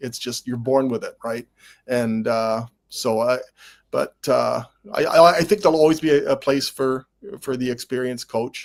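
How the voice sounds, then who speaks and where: A man with a Canadian accent talks in a normal speaking voice at a medium pitch and moderate pace, with ordinary pitch variation and a dry, close sound with no echo. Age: 60s. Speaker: sportswriter and football historian. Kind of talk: casual chat.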